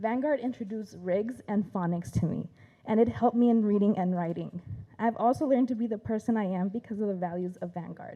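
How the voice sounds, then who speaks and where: Her voice is dark and mellow, at a medium pitch with ordinary variation. The woman speaks at a fairly quick pace with a Spanish accent. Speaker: teacher. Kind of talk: prepared speech.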